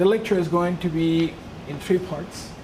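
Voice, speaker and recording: A woman with a Peruvian accent speaks at a moderate pace. Room echo and noticeable background noise can be heard. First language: Spanish. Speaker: lecturer on UFO phenomena. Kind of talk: lecture.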